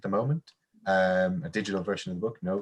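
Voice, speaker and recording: At a very fast pace, a man talks in a fairly low pitch with ordinary pitch variation. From Ireland. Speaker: teacher trainer and coursebook author. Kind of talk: webinar talk. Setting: online webinar.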